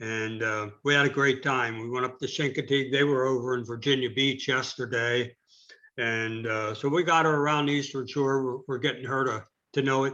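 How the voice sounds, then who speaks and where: With a bright, sharp tone, a man talks at a moderate pace and keeps his intonation fairly even. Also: medium pitch for a man. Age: old. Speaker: rotary club meeting leader. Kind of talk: club meeting announcements. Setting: video call. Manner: casual, halting with fillers.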